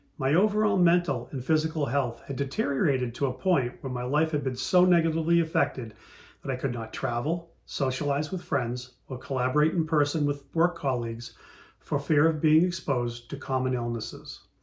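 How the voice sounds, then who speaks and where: This man talks fairly quickly in a somewhat breathy, fairly high voice, his pitch varying in an ordinary way. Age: 60s. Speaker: patient panelist. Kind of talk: testimony. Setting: virtual meeting. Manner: reading prepared statement.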